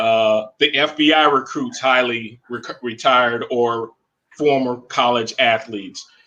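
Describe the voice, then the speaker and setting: With an American accent, a man with an unremarkable speaking voice talks at a fairly slow pace, his medium-pitched voice keeping a fairly even intonation. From Florida. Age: 50s. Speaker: pro athlete and author. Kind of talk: casual chat.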